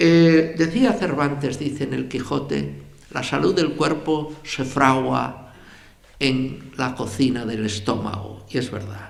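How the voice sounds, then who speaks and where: Lively in his intonation, a man speaks at a very slow pace. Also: medium pitch for a man. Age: 80s+. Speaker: journalist and writer. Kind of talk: public lecture.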